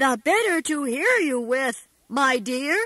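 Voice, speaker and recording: Pitched high and taking a fairly slow pace, a woman performs a put-on character voice. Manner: soft.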